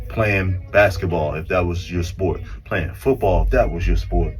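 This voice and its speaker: Speaking in a Baltimore accent at a fairly slow pace, a man uses an animated tone with very wide pitch swings, heard through audible room echo and noticeable background noise. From Baltimore, US. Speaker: podcast guest, former basketball player. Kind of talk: casual chat. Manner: animated storytelling.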